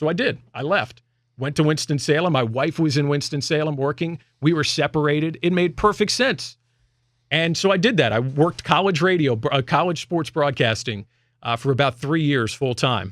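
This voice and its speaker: In a very clean recording with a silent background, a man with an ordinary speaking voice and a fairly high pitch speaks at a moderate pace. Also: lively intonation. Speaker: sports radio host and play-by-play broadcaster. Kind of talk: casual radio talk, personal announcement to listeners.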